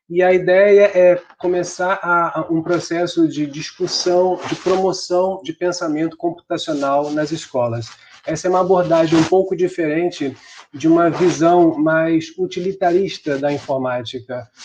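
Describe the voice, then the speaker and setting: A man's high-pitched voice, fairly even in intonation, at a fairly slow pace. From Brazil. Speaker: computer science professor. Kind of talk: online conference talk. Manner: frequent filler hesitations.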